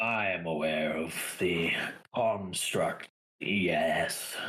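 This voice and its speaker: In a put-on character voice, a man speaks very slowly with a raspy, very deep, low pitch. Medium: actual play. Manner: measured, cool, aloof.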